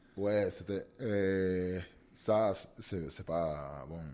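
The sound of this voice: Very slow and low-pitched, a man with a Cuban accent speaks in a dark, mellow tone with ordinary pitch variation.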